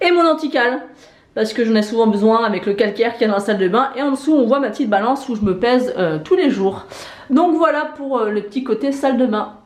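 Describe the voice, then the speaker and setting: Noticeable background noise sits behind a woman talking very fast. Her pitch is high and her intonation lively. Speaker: lifestyle vlogger. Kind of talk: vlog home tour. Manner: casual, hesitant with many fillers.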